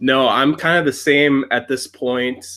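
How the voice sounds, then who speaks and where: The speaker has a Wisconsin accent with a bright, sharp tone and monotone, flat intonation at a very slow pace. The recording is very clean, with a silent background. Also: man. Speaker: YouTuber. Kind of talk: casual chat.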